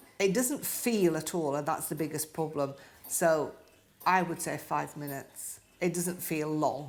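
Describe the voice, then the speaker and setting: The speaker has a British accent and a fairly slow pace. Audible room echo surrounds the voice. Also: woman, very deep, low pitch for a woman, ordinary pitch variation. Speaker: stroke survivor. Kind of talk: interview. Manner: halting.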